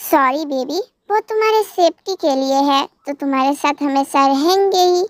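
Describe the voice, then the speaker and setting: Put-on character voice from a woman, pitched high, moderately paced. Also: dry, close sound with no echo. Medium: read story. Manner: firm, controlling.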